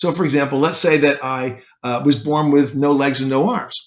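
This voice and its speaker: At a fairly quick pace, a man speaks in a normal speaking voice with a fairly high pitch. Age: 60s. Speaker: self-help podcaster. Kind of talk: motivational talk. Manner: conversational.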